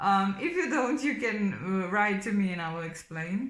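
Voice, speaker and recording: In a Slovenian accent, a woman speaks at a fairly slow pace with medium pitch and ordinary pitch variation. Room echo is audible. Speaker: tarot reader. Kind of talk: tarot reading monologue. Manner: hesitant, many fillers.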